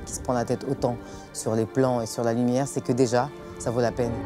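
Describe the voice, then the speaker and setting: A woman speaks at a very fast pace in a very deep, low voice. Her intonation stays fairly even, with music playing in the background. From France, of Comorian heritage. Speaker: singer. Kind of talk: interview answer. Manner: casual, hesitant.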